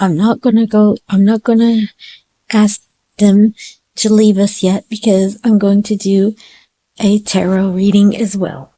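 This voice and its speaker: Speaking at a fairly slow pace, a woman with a somewhat breathy, dark, mellow tone holds a medium pitch in a monotone, flat delivery, with a dry, close sound and no echo. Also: very even loudness. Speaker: psychic reader. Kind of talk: tarot and crystal ball reading. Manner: halting.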